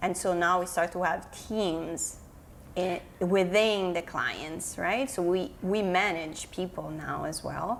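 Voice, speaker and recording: A woman with an Italian accent speaks at a very slow pace, her pitch fairly low and her intonation fairly even. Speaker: digital marketing consultant. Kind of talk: podcast interview.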